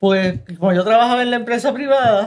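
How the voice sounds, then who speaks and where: A woman speaks with ordinary pitch variation. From Puerto Rico, Río Piedras. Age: 80s+. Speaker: retired accountant. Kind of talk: interview. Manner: halting.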